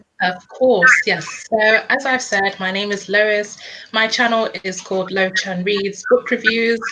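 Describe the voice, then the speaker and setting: Over noticeable background noise, a woman with a London accent speaks fairly slowly at a medium pitch, her intonation fairly even. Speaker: book reviewer. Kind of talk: casual chat.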